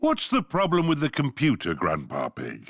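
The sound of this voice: A man does a cartoonish character voice. He speaks at a moderate pace.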